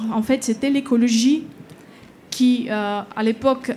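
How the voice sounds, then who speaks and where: In a fairly high voice, a woman speaks with monotone, flat intonation. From Bulgaria. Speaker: political scientist. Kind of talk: panel discussion. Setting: stage with audience.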